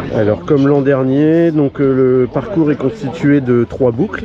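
A man is speaking here. The sound is dry with no echo, though background noise is noticeable. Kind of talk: casual conversation, explaining the course. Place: open country.

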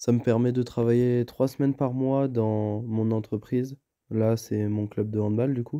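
A man talks fairly slowly at medium pitch in a dark, mellow tone. His intonation is monotone and flat. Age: 20s. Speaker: apprentice sports instructor. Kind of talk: personal testimony. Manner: hesitant with many fillers.

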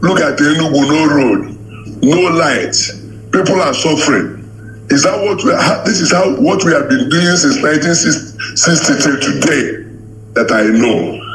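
With noticeable background noise, a man in a Nigerian accent speaks at a fairly slow pace, keeping very even loudness while his pitch makes very wide swings. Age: 60s. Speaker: caller. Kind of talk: call-in comment.

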